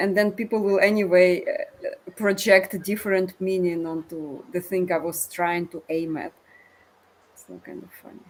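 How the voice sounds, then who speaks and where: With a non-native accent, the speaker talks at a moderate pace with fairly even intonation and big swings in loudness, over noticeable background noise. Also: woman, medium pitch for a woman. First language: not English. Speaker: discussion participant. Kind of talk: casual chat. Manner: halting.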